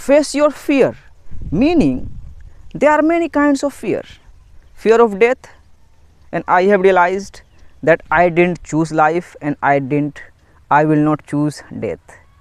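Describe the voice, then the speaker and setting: A man speaks at a very slow pace, leaving long, frequent pauses. His high voice makes very wide pitch swings. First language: not English. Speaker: motivational YouTuber. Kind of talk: motivational talk to camera. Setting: outdoors in nature.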